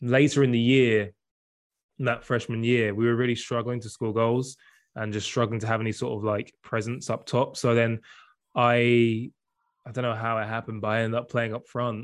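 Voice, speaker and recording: Against a quiet background, a man with an English accent talks at a medium pitch in a monotone, flat intonation. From southern England. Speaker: semi-professional footballer. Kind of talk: casual interview chat.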